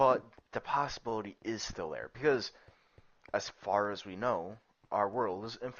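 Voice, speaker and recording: With long, frequent pauses and big swings in loudness, a man speaks at a moderate pace and medium pitch with ordinary pitch variation. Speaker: gaming streamer. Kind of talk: casual chat. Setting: live stream. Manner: halting.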